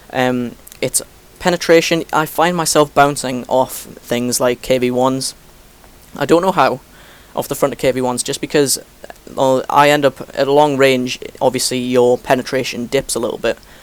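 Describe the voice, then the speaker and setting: A man's medium-pitched voice holds fairly even intonation against noticeable background noise. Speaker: gaming commentator. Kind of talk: gameplay commentary tutorial. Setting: post-recorded voiceover over replay. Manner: fast; hesitant, many fillers.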